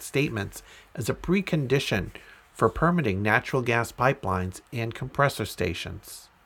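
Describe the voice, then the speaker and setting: Speaking at a moderate pace, a man at medium pitch has an ordinary speaking voice. The recording is very clean, with a silent background. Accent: American. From Massachusetts (Andover). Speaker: podcast host. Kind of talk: reading aloud.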